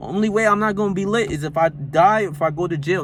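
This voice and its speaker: A man with an American accent, animated tone and ordinary pitch variation, in a very clean recording against a silent background. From North Jersey, US. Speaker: self-help vlogger. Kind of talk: motivational rant. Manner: animated, emphatic.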